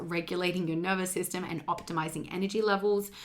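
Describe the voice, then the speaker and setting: A woman talks in a monotone, her intonation flat. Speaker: fitness and weight loss coach, podcast host. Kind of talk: solo podcast monologue, program promotion. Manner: casual, many fillers (um, like).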